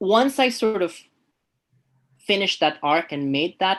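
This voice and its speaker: A non-native accent at a fairly quick pace, with a quiet background. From refugee background, grew up in Canada. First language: not English. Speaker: artist and professor. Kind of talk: interview. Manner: halting, repeats words.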